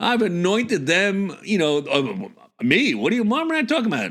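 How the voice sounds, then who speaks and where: A man's bright, sharp voice with very wide pitch swings, on a very clean recording with a silent background. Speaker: baseball podcast host. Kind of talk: casual podcast talk.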